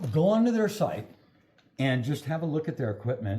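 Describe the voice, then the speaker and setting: The voice moves at a fairly quick pace, somewhat breathy and dark and mellow in tone, with very wide pitch swings. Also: man. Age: 60s. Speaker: metal fabricator. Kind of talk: product unboxing.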